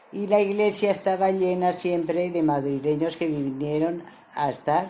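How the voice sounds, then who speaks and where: In a room with audible echo, a woman talks fairly slowly in a fairly low voice with ordinary pitch variation. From El Campello, Alicante. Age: 80s+. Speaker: civil war survivor interviewed. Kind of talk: oral history interview.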